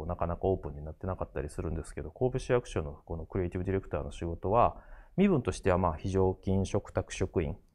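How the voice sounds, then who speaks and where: A man with a very deep, low voice speaks at a very fast pace with hardly any pauses and big swings in loudness, against a quiet background. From Japan, Kobe (Kansai); Japan. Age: 40s. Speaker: graphic designer and art director; design lecturer. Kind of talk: lecture. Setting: studio. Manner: halting, many fillers. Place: studio. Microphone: lapel.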